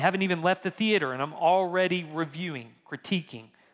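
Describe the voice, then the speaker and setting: A man's high, bright, sharp voice with ordinary pitch variation on a very clean recording with a silent background. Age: 30s. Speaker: pastor. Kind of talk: sermon.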